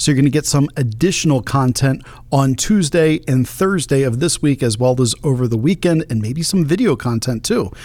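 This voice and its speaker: An unremarkable speaking voice from a man, fairly high in pitch, at a fairly quick pace with lively intonation. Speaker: podcast host and political commentator. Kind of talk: political commentary monologue.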